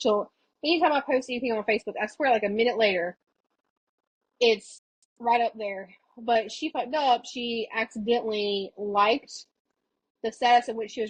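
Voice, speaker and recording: Speaking with an American accent, a woman uses a fairly high pitch, ordinary pitch variation and a moderate pace, in a dry, close sound with no echo. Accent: strong Southern country accent when drinking. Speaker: podcast host. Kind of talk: casual chat.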